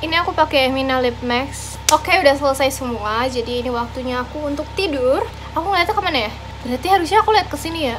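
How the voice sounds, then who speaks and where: With music in the background, a woman speaks very fast in a high pitch. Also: lively intonation. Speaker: lifestyle vlogger. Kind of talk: vlog narration.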